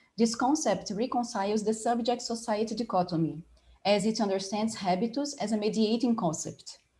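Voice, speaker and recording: Somewhat breathy, with a dark, mellow tone, a woman with a Portuguese accent speaks at a fairly quick pace in a fairly high pitch. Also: ordinary pitch variation, very even loudness. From Brazil, Rio de Janeiro. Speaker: design professor and panel moderator. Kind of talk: academic conference presentation.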